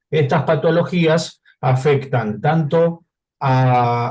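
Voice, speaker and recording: Dark, mellow male tones with ordinary pitch variation. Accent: non-native. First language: not Spanish (speaking Spanish). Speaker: audience member asking a question. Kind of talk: question at a clinical case conference. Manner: halting.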